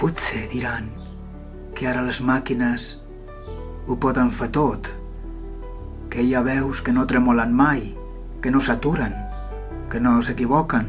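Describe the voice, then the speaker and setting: Over music in the background, a man speaks at a very slow pace and medium pitch, his intonation monotone and flat, with long, frequent pauses. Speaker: poet. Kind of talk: poetry reading.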